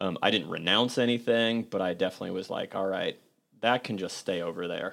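A man's plain, everyday voice, fairly low-pitched and fairly quick, with fairly even intonation, on a very clean recording with a silent background. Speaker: podcast host. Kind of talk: casual roundtable conversation about grief.

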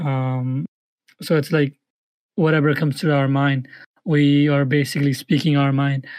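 A man with a plain, everyday voice, fairly high in pitch, with fairly even intonation at a fairly slow pace, in a dry, close sound with no echo and a quiet background. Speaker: podcast co-host. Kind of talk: casual chat. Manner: filler-heavy, casual.

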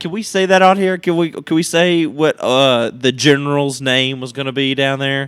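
A man's plain, everyday voice, fairly high in pitch, at a moderate pace with hardly any pauses and ordinary pitch variation. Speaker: podcast host, college sports. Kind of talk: casual sports banter podcast.

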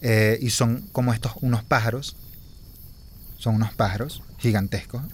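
Somewhat breathy, a man speaks at a medium pitch and a fairly slow pace, his loudness very even. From Venezuela, Anzoátegui. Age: 30s. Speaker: podcast host. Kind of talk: casual chat. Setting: outdoors by a campfire in woods.

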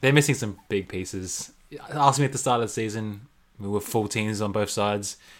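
A man speaks in an Australian accent at a fairly low pitch. His pace is moderate and his pitch varies an ordinary amount. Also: long, frequent pauses, big swings in loudness. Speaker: podcast co-host. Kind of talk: casual chat about basketball.

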